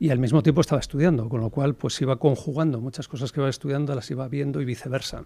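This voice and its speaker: This man talks at a very fast pace with hardly any pauses. His fairly high voice has a dark, mellow tone and fairly even intonation. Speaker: entrepreneur. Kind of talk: podcast interview. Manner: hesitant, many fillers.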